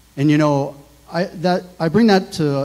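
Ordinary pitch variation from a man. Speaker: pastor. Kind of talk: sermon. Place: church. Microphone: handheld.

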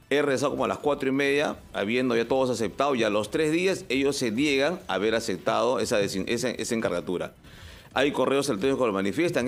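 Talking at a very fast pace, this man shows ordinary pitch variation. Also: very even loudness. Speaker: public utility board chairman; public interviewee. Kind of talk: radio interview. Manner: halting. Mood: defensive, earnest explaining. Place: studio. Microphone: studio mic.

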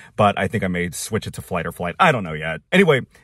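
A man is speaking. Behind him the background is quiet. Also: dry sound with no echo. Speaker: flight attendant vlogger. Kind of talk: casual vlog chat. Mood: frustrated but chatty. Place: car. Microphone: phone near.

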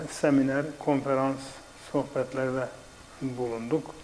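Very slowly and in a flat monotone, a man with a fairly high pitch speaks over light background noise. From southeastern Turkey. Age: 70s. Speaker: retired teacher and author. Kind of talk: casual chat. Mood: calm, reminiscing. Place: studio.

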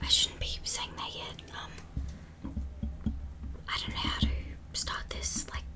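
A woman talks at a fairly slow pace with long, frequent pauses, and there is noticeable background noise. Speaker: ASMR creator. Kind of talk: casual talk to camera.

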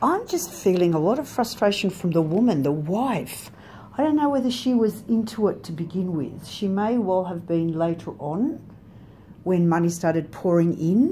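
A woman speaks at a moderate pace over light background noise. Her tone is dark, mellow and somewhat breathy. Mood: calm, reflective. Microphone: phone near.

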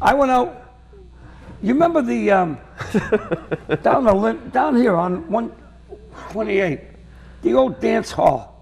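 A Boston accent at a very slow pace, with long, frequent pauses and very wide pitch swings. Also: man, high pitch for a man. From Lynn, Massachusetts; Massachusetts. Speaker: comedian. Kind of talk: casual chat. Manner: animated. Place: studio. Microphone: lapel.

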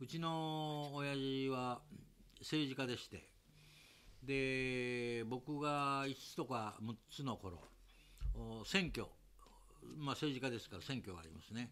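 A man at a very slow pace, long, frequent pauses, big swings in loudness and ordinary pitch variation. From Japan. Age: 80s+. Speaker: investment seminar host. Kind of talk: casual interview chat. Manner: animated. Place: home room.

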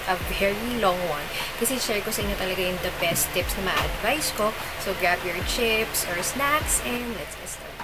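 The speaker talks at a moderate rate, with typical variation in pitch. Behind the voice, music is playing. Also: woman. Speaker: pet vlogger. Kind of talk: casual vlog chat.

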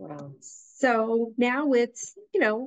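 The setting is quiet. A woman talks in an American accent. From Boston North Shore, Massachusetts; Massachusetts. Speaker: executive director of a church musicians' association; guest. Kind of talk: casual interview conversation. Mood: warm, earnest. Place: home room. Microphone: video call.

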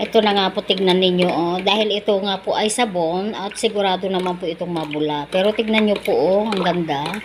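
A woman of medium pitch talks at a fairly quick pace with hardly any pauses. Her intonation is fairly even, and noticeable background noise runs underneath. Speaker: vlogger. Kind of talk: tutorial. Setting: outdoors. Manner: halting.

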